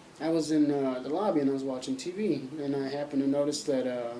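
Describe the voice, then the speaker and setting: Audible room echo surrounds a man's voice. He talks at a fairly quick pace with fairly high pitch. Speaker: vlogger. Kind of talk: casual vlog monologue. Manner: speaking up loudly. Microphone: laptop mic, positioned closer to face.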